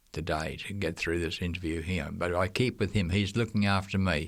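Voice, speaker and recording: An Australian accent on a very clean recording with a silent background. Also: man. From Australia, Queensland. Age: 80s+. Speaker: retired missionary teacher. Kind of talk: interview.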